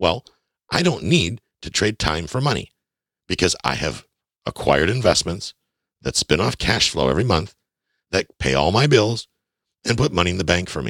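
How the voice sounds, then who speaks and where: A man's very deep, low voice with vocal fry and very wide pitch swings, at a moderate pace with long, frequent pauses, in a dry, close sound with no echo. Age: 40s. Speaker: podcast host on personal finance. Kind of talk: solo podcast monologue. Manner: emphatic, direct address to listeners.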